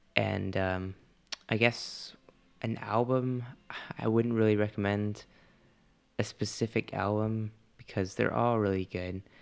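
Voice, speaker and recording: A man talks fairly slowly with monotone, flat intonation. His speech has long, frequent pauses. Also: fairly low pitch for a man. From Canada. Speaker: podcast co-host, musician. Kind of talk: casual chat. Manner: halting, many fillers.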